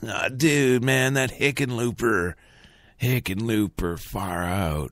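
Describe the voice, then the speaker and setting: A man speaks at a fairly slow pace in a raspy, put-on character voice of medium pitch, with lively intonation. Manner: slow, drawn out, spacey.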